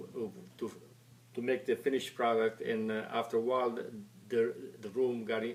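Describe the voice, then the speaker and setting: In an Italian accent, a man of medium pitch speaks at a fairly quick pace in a monotone, flat way, broken by long, frequent pauses. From Italy. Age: 70s. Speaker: retired factory worker. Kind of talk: oral history interview. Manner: halting, many repetitions and stammers.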